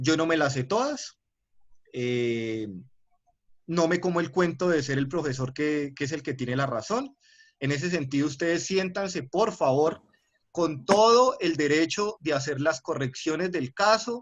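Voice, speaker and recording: With a Cali accent, a man speaks at a fairly slow pace and a fairly high pitch, his intonation lively. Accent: Colombian Spanish, Cali (caleño). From Colombia, Cali. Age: 20s. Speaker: university lecturer. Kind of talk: lecture. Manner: hesitant, with filler sounds and repetitions.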